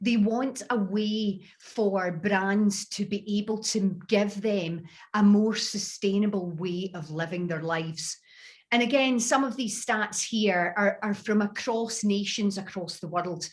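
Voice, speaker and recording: Fairly even in intonation, a woman talks at a fairly slow pace with a medium pitch. She has a Scottish accent. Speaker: beauty industry speaker. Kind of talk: webinar presentation. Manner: clear, deliberately careful.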